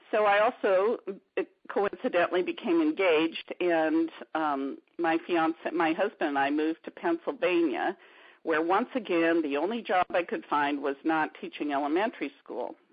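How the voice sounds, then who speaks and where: A woman with an ordinary speaking voice talks at a fairly low pitch and a moderate pace, with ordinary pitch variation. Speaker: art therapist and art teacher. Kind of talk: interview. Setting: radio interview.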